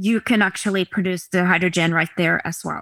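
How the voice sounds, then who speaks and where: With a Norwegian accent, a woman talks at a fairly quick pace and medium pitch, her intonation fairly even. Her tone is bright and sharp, and the very clean recording is dry and close with no echo against a silent background. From Norway, Oslo area. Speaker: company executive. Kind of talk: presentation and interview.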